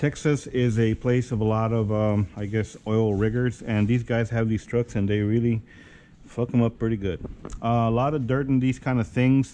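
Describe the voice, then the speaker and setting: A man's dark, mellow voice at a moderate pace, fairly even in intonation, over light background noise. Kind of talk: tutorial. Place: workshop. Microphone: phone near.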